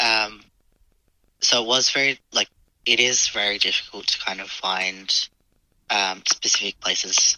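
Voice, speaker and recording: A man with an Australian accent speaks fairly slowly, with long, frequent pauses. His pitch is fairly low and his intonation fairly even. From Australia, Adelaide. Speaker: guest sharing lived experience. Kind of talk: personal interview. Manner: halting, many fillers.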